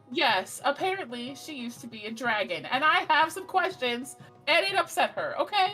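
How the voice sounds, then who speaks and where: A woman's high-pitched, put-on character voice at a moderate pace, with clear music in the background. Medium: actual play. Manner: blunt, defensive.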